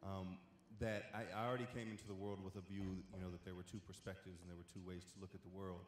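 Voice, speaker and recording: Speaking very fast with an American accent, a man has a very deep, low pitch and monotone, flat intonation. Noticeable background noise runs underneath. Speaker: panelist, former student. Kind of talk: panel discussion.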